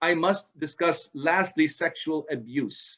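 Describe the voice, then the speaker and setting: A man's bright, sharp tone at a fairly high pitch, with ordinary pitch variation and a quiet background. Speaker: presenter on parenting, author. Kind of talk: lecture. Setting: video call.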